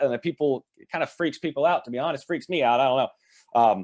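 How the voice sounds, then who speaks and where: A man talks at a very fast pace in a fairly high pitch with lively intonation. The sound is dry and close, with no echo. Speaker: livestream host, online marketing coach. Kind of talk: live stream talk answering comments. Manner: rambling, self-interrupting.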